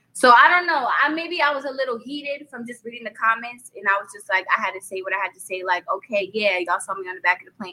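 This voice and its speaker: With a New York accent, a woman races along at a very fast pace with hardly any pauses, her fairly high pitch, bright, sharp tone and lively intonation paired with big swings in loudness. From Brooklyn, New York. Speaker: rapper and singer. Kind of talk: interview.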